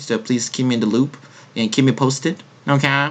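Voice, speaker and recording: Speaking in a Korean accent, a man of medium pitch keeps his intonation fairly even. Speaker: podcast host. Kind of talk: casual chat.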